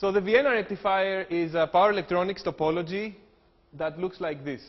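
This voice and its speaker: With a Greek accent, a man speaks at a fairly quick pace in a high pitch with ordinary pitch variation. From Greece. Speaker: engineering professor. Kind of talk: lecture.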